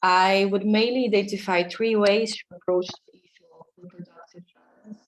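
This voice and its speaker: At a moderate pace, a woman with a non-native accent speaks at a medium pitch with fairly even intonation. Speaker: academic researcher. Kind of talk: conference talk.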